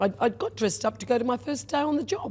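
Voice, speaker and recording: Speech comes at a fairly quick pace. It is delivered in an Australian accent. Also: woman. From rural Victoria, Australia. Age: 60s. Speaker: restaurateur. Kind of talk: podcast interview. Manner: animated.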